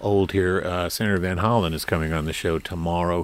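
Speaking at a moderate pace, a man with a very deep, low pitch keeps his intonation fairly even on a very clean recording with a silent background. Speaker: public radio host. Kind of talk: radio interview. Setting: studio.

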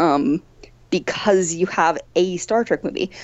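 A woman with a Midwestern accent speaks at a moderate pace. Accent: American Midwest. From Missouri. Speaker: academic author. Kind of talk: casual interview.

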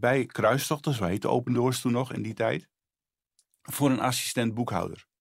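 This man talks at a moderate pace in a medium pitch, and the recording is very clean with a silent background. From Netherlands, Friesland. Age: 60s. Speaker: charity spokesperson. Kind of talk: testimony. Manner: halting.

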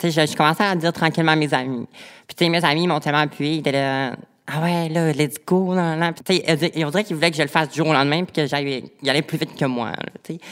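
A woman speaks fairly quickly with a Saguenay–Lac-Saint-Jean accent. Her pitch is very deep and low, her intonation fairly even. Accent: Quebec French (Saguenay–Lac-Saint-Jean). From Quebec, Lac-Saint-Jean. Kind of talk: personal testimony in interview.

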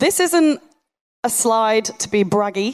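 Fairly slow and fairly high-pitched, a woman speaks with a Yorkshire accent. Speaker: site engineer and online fitness coach. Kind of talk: live talk to an audience. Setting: stage with audience.

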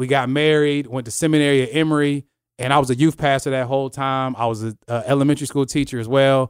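Monotone, flat delivery from a man at medium pitch with an American accent, fairly quick pace, in a very clean recording with a silent background. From US Midwest, Kansas (military family). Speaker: church youth ministry director. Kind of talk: casual chat.

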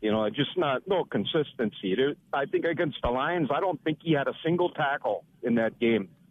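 This is a plain, everyday voice with lively intonation. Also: man, fairly high pitch for a man, moderate pace, very even loudness. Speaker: caller. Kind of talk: call-in sports talk. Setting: phone call.

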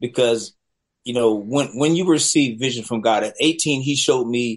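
A man speaks at a moderate pace with ordinary pitch variation. He has a plain, everyday voice. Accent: American. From US South, Charlotte, North Carolina. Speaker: film director. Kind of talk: interview.

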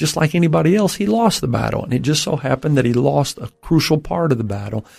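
Somewhat breathy and fairly high-pitched, a man with an American accent speaks with lively intonation. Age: 50s. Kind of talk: interview about mental health and faith.

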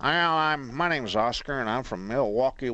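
In a put-on character voice with a Texas accent, a man speaks at a medium pitch and a moderate pace.

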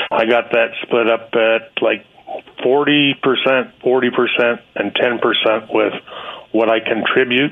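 Over noticeable background noise, a man speaks very slowly in a flat monotone at medium pitch, with long, frequent pauses and very even loudness. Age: 60s. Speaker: state worker. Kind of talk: radio call-in.

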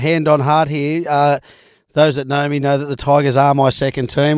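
In a very clean recording with a silent background, a man speaks with an Australian accent. His pitch is fairly high and his intonation monotone and flat. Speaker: sports radio co-host. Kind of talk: casual sports chat.

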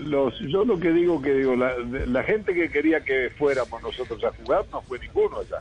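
Through noticeable background noise, a man with a fairly high pitch speaks at a moderate pace with ordinary pitch variation. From Uruguay. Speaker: football coach. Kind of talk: radio interview. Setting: phone call. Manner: halting.

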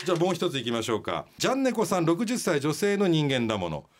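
Very fast and swinging very widely in pitch, a man speaks with music in the background. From Kyushu, Japan. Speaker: radio host. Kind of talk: casual radio banter reading listener mail. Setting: radio studio. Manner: joking, self-deprecating.

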